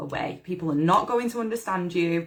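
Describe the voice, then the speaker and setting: This woman has a bright, sharp tone and a fairly low pitch, with a British accent. She speaks at a moderate pace with ordinary pitch variation. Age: 40s. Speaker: manifestation coach. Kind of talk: live stream talk. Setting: Facebook live video. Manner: casual, filler-heavy.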